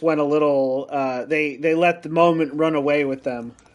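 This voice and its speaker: A man speaks in a plain, everyday voice at a fairly high pitch. His pace is moderate. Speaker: tabletop game player. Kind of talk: tabletop role-play.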